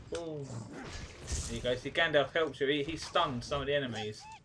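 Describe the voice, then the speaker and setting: Noticeable background noise sits behind this man's fairly high voice. He keeps a moderate pace and fairly even intonation. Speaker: gaming YouTuber. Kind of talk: video game playthrough commentary. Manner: casual, chatty, rambling.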